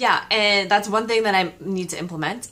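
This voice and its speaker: The woman's voice has a bright, sharp tone. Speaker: vlogger. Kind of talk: casual vlog chat. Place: home room. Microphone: phone near.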